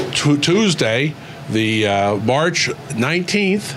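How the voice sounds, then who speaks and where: A man talks at a very slow pace, his pitch swinging very widely. Noticeable background noise runs underneath. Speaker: interviewer. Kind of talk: interviewer questions.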